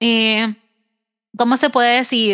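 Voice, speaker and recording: In a Puerto Rican accent, a woman with a fairly high pitch speaks at a moderate pace with fairly even intonation. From Puerto Rico. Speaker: podcast host. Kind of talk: casual interview conversation.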